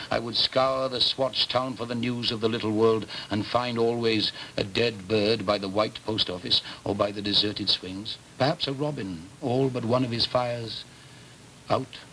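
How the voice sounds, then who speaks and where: A man speaks in a warm tone with fairly even intonation. Noticeable background noise is present. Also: medium pitch for a man, moderate pace. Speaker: actor. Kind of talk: literary prose reading. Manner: warm, nostalgic, masterful delivery.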